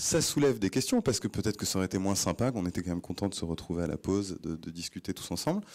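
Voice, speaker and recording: A man speaks very fast in a fairly low voice on a very clean recording with a silent background. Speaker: startup CEO, conference speaker. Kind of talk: conference talk. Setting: stage with audience. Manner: hesitant, many fillers and repetitions.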